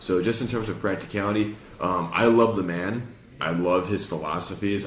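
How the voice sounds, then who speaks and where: A man speaks with a Chicago accent and fairly even intonation. Audible room echo surrounds his voice. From Chicago, US Midwest. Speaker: podcast host, retail salesperson. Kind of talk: casual chat.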